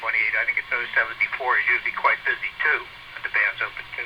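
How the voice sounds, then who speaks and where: A man races along at a very fast pace amid noticeable background noise. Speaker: ham radio net control operator. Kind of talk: radio net announcements. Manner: halting, many fillers.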